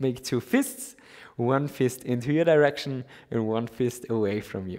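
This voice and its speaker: A man speaks at a medium pitch in an Austrian accent. His pace is fairly slow, with ordinary pitch variation. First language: German. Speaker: yoga teacher. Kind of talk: guided yoga class.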